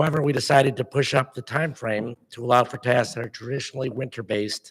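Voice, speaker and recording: His intonation stays fairly level. The man talks very fast. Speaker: park district staff presenter. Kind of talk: public meeting presentation. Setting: board meeting. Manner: formal.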